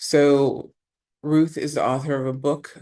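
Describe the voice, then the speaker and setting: The speaker talks at a fairly slow pace against a quiet background. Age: 50s. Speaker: summit presenter, cross-cultural educator. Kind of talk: online presentation.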